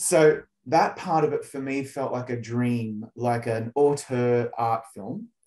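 A man is talking here. His pitch varies in an ordinary way over a quiet background. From Australia. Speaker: entertainment journalist interviewer. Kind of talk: interview. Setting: video call. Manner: animated. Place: home room. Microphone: video call.

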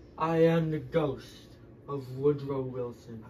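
Fairly high-pitched male voice, fairly slow and with fairly even intonation, against clear background noise. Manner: aggrieved, confused.

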